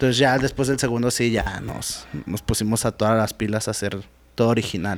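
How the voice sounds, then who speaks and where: Speaking at a fairly quick pace in a plain, everyday voice, a man keeps a medium pitch and fairly even intonation on a very clean recording with a silent background. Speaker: rapper and beatmaker. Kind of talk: casual chat.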